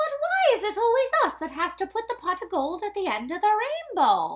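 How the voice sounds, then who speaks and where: The put-on character voice is extremely high in pitch and moves at a fairly quick pace. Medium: read story.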